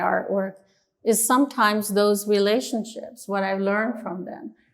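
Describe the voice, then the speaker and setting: A woman speaks at a medium pitch. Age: 60s. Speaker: artist. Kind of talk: interview.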